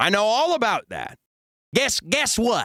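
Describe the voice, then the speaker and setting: In a Chicago accent, a man with extremely high pitch uses a raised, projected voice, bright and sharp in tone and animated, with lively intonation at a fairly slow pace. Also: dry, close sound with no echo. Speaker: streamer. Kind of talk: casual reaction commentary.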